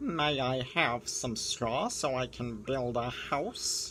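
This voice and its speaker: A man puts on a character voice at a medium pitch and a very slow pace. Clear background noise runs underneath. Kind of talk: children's story read-aloud. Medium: read story.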